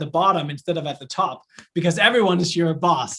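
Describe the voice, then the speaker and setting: A speaker with a Danish accent talks at a very fast pace. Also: man. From Denmark. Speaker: entrepreneur and professor. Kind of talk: online lecture. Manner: casual, with many fillers.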